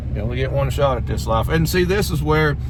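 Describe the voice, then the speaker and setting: Speaking in a rural Southern US accent, a man has a very deep, low voice and fairly even intonation. There is noticeable background noise and audible room echo. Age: 40s. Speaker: YouTuber. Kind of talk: casual chat.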